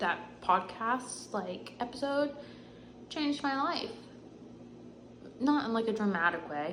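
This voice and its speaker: Amid audible room echo and noticeable background noise, a woman talks at a fairly slow pace with long, frequent pauses, a fairly high pitch and very wide pitch swings. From North Carolina, US South. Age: 20s. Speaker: physical therapist and vlogger. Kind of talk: casual chat. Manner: rambling filler-heavy speech.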